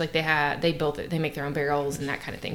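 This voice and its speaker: A woman speaks in a Southern Kentucky accent over noticeable background noise. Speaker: bourbon tasting guest. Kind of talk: casual chat.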